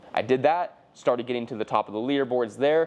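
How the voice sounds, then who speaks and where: A man speaks with an energetic tone. He has a Californian accent. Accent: Californian American. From US West Coast, southern California. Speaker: entrepreneur. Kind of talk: personal story monologue. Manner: casual, energetic.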